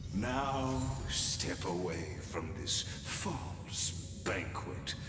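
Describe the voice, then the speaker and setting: A put-on character voice speaks at a very slow pace. There is clear echo and loud background noise. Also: man, very deep, low pitch for a man. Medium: machinima. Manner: solemn, measured.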